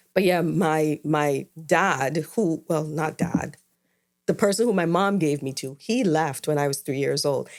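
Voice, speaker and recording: In an Antiguan accent, a woman talks at a fairly slow pace. Her pitch is very deep and low, with ordinary variation. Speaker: podcast co-host. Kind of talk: casual chat.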